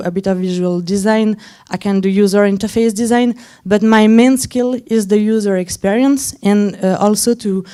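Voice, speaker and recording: A woman with a non-native accent speaks at medium pitch in a dark, mellow tone. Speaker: head of design at a startup, conference speaker. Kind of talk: conference talk. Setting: stage with audience. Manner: halting, many fillers.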